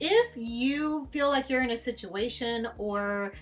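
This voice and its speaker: A woman with a fairly high pitch and ordinary pitch variation speaks over music in the background. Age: 50s. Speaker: travel vlogger. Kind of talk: casual talk to camera.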